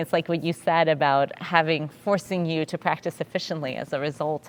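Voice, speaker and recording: A woman's fairly low-pitched voice with a Russian accent, at a fairly quick pace with hardly any pauses. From Russia, St Petersburg. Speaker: orchestra conductor. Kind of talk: casual chat. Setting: stage with audience.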